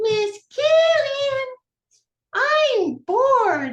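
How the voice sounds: This put-on character voice is extremely high-pitched, shrill, squeaky and whiny.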